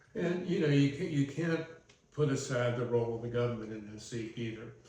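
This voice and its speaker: The speech moves at a fairly quick pace with ordinary pitch variation, amid noticeable background noise and audible room echo. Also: man, medium pitch for a man. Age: 70s. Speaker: retired veterinarian. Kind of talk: casual chat.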